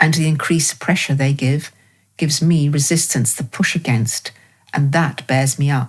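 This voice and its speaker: In an English accent, a woman with a very deep, low, somewhat breathy voice speaks at a moderate pace, with fairly even intonation and very even loudness. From England. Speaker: dancer and choreographer. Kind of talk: reading of her own prose text.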